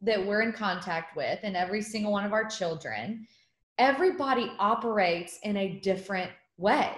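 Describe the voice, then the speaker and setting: A woman talks at a moderate pace, her voice fairly high in pitch and somewhat breathy. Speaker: guest speaker and mom. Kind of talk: casual interview chat. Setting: video call.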